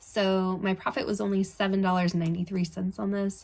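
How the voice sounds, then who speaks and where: A woman speaks in a medium pitch with a somewhat breathy voice. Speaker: online clothing reseller. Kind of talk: casual vlog talk.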